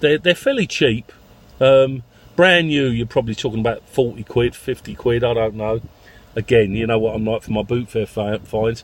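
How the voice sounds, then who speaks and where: Medium-pitched male voice with ordinary pitch variation, at a moderate pace. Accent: London. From London. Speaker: taxi owner vlogger. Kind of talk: casual vlog monologue. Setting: in a car. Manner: halting, with many fillers.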